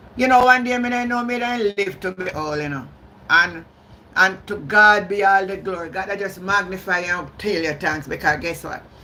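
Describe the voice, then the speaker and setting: With a strong Jamaican accent, a woman speaks at a moderate pace and medium pitch. Her intonation is lively and her tone bright and sharp. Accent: Jamaican, heavy patois. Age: 60s. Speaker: YouTube live streamer, political commentator. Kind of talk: live stream commentary. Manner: animated, combative.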